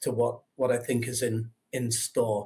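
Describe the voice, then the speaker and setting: Somewhat breathy and at a medium pitch, a man speaks in an English accent. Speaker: investor relations, former stockbroker. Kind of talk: investor webinar Q&A. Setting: online webinar.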